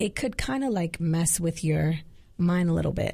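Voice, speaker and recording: A woman speaks with an American accent in a fairly low, somewhat breathy voice, with ordinary pitch variation at a moderate pace. The recording is very clean, with a silent background. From Queens, New York City. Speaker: gospel singer. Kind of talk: casual interview chat. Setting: studio.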